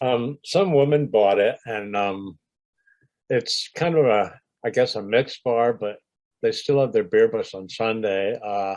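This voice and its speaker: A man's medium-pitched voice, fairly slow, with ordinary pitch variation. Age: 60s. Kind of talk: interview reminiscence. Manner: hesitant, many fillers.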